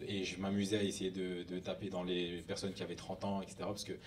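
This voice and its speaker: The speech comes at a very fast pace. Audible room echo surrounds it. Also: man. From northern France, near Lille. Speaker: hip hop dancer. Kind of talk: conference talk. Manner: casual.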